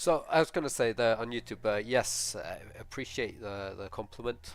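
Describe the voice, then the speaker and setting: A man with a Norwegian accent speaks at a moderate pace in a fairly low pitch with ordinary pitch variation, with music playing in the background. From Norway. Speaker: LEGO animator, stream co-host. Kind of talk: casual live stream chat.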